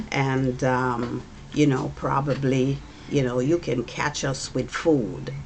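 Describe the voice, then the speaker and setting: A woman speaks very slowly in a very deep, low voice with monotone, flat intonation. Noticeable background noise and audible room echo fill the recording. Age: 70s. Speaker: mother of the channel host. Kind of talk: casual chat.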